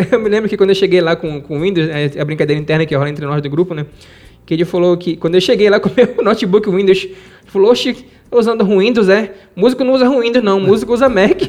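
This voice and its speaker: Speaking very fast, a man with a high pitch uses ordinary pitch variation. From Pará, Brazil (Marajó island, rural Moaná). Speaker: self-taught musician and music producer. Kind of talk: interview storytelling. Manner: halting, repeats words.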